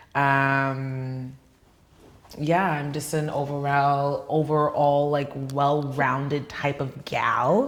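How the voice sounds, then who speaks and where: Very slow, flat, monotone delivery in a New York accent, with audible room echo. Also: woman, very deep, low pitch for a woman. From New York (Queens). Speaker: dancer and fitness trainer. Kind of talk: interview. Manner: casual, many fillers.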